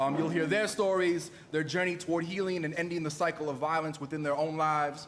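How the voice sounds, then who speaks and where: Very fast speech from a man with a fairly high voice and fairly even intonation, with noticeable background noise and audible room echo. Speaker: event emcee, poet. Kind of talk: event emcee address to live audience. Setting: live event hall with audience. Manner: loud.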